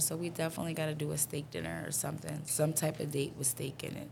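Someone with a New York accent speaks at a fairly quick pace in a monotone, flat intonation. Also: woman. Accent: New York City. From New York City (Harlem, Bronx). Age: 20s. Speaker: content creator and artist. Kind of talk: casual chat.

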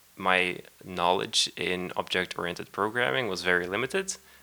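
This man has a very deep, low pitch with a bright, sharp tone. He speaks with a Dutch accent. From Netherlands. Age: 20s. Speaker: software developer. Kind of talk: casual chat. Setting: at home.

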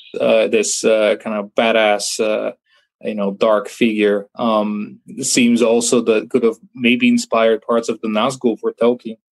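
Monotone and flat, a man talks at a medium pitch and fairly slow pace, the sound dry and close with no echo. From Bulgaria. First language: Bulgarian. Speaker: filmmaker. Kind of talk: interview. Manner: halting.

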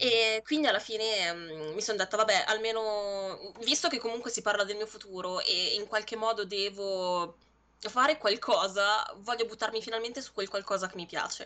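Her voice bright and sharp in tone, a woman with fairly high pitch speaks at a moderate pace with ordinary pitch variation. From Lombardy, Monza Brianza. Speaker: video editor, graphic designer and streamer. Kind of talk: interview. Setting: live stream.

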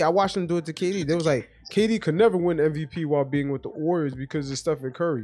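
With music in the background, the speech runs at a very fast pace with hardly any pauses and lively intonation. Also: man. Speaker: basketball talk host. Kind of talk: casual sports talk. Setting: live online audio chat.

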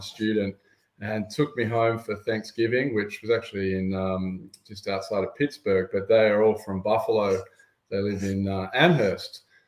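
Speaking with an Australian accent, a man uses a fairly low pitch and keeps a moderate pace. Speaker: sports fan guest. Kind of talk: casual interview chat.

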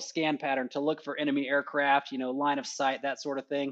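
Against a quiet background, a man with a Texan accent speaks at a fairly high pitch. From Texas (rural, southwest of Houston). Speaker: fighter pilot instructor. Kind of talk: casual interview.

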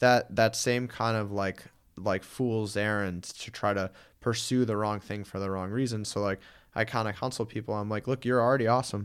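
An ordinary speaking voice with an American accent moves at a moderate pace and fairly even intonation, on a very clean recording with a silent background. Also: man, fairly low pitch for a man. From Connecticut, New Haven area. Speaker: personal trainer, former wrestler. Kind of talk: casual interview.

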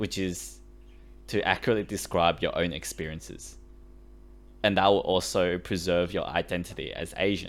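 In a very clean recording with a silent background, a man with an Australian accent talks at a moderate pace, leaving long, frequent pauses. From Sydney, Australia; Chinese-born. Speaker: podcast co-host. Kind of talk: casual chat.

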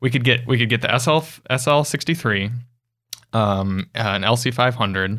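A man at a medium pitch speaks at a moderate pace in a bright, sharp tone, his loudness very even and his pitch varying in an ordinary way, on a very clean recording with a silent background. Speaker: car podcast host. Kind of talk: casual chat. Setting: studio.

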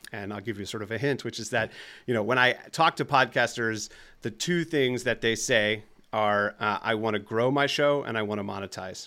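Recorded very cleanly against a silent background, a man with a slight New Jersey accent speaks at a moderate pace. His medium pitch carries a bright, sharp tone and ordinary pitch variation. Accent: slight New Jersey on some words. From US, New Jersey. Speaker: tech company founder and CEO. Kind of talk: interview.

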